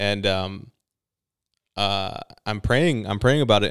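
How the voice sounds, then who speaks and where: The recording is very clean, with a silent background. A man speaks in an unremarkable speaking voice at a fairly low pitch. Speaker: podcast host. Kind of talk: casual chat. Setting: Las Vegas.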